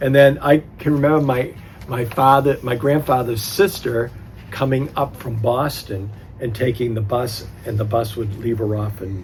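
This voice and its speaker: Noticeable background noise is present. Over it, a man talks at a moderate pace with ordinary pitch variation. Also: medium pitch for a man. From New Hampshire. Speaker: oral history interviewee. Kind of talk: oral history interview. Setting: library. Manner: halting.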